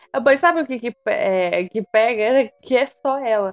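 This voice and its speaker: A woman's high voice at a fairly slow pace. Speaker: podcast co-host. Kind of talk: casual chat.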